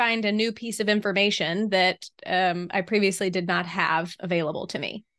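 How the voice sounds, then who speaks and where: The voice has a bright, sharp tone and a Southern US accent. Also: woman. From US South. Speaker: podcast co-host. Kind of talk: casual chat.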